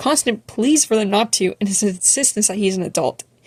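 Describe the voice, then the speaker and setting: Her delivery is very fast, somewhat breathy, at a medium pitch for a woman with ordinary pitch variation. The sound is dry and close with no echo. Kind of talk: video essay narration. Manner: stutter.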